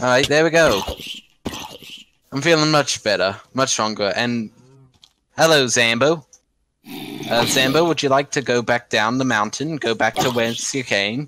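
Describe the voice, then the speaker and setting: A man with a bright, sharp tone and medium pitch talks at a fairly slow pace, leaving long, frequent pauses and showing ordinary pitch variation. The sound is dry with no echo, though background noise is noticeable. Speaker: gaming YouTuber. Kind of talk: casual gameplay commentary, teaching. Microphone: studio mic.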